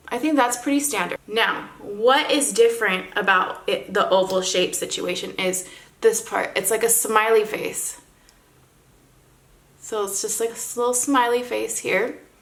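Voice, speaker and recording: A woman with a fairly high pitch and ordinary variation speaks at a fairly slow pace, with audible room echo. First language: not English. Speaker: model and beauty vlogger. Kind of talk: makeup tutorial. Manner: casual, chatty.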